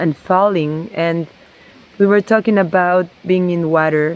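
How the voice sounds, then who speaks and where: A woman with a Spanish accent speaks at a very slow pace. Her pitch is medium and her intonation fairly even. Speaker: somatic movement and water therapy practitioner. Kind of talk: reflective personal vlog. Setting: outdoors by a stream.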